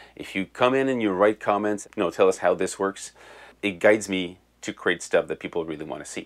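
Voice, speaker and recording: With a French Canadian accent, the speaker uses ordinary pitch variation on a very clean recording with a silent background. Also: man. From Quebec. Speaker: music tech YouTuber. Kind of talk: casual Q&A video answering viewer comments. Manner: halting, with repeated words.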